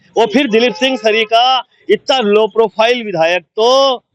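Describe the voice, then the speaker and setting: Music in the background and a dry, close sound with no echo. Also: man, very even loudness. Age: 60s. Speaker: veteran journalist and politician. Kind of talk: interview. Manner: animated.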